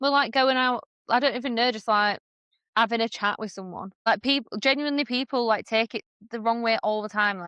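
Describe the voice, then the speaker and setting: A woman with a northern English accent, fairly high in pitch, at a fairly quick pace with ordinary pitch variation. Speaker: podcast co-host. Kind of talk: casual chat. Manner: loud; animated.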